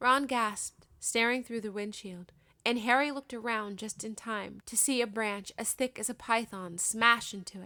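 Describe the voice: The speaker is reading aloud. The reading is plain.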